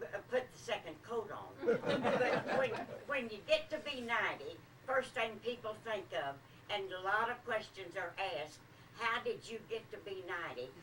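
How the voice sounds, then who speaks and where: With audible room echo and noticeable background noise, a woman speaks in a fairly high pitch. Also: lively intonation, moderate pace. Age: 80s+. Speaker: birthday celebrant. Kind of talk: after-dinner speech. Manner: halting.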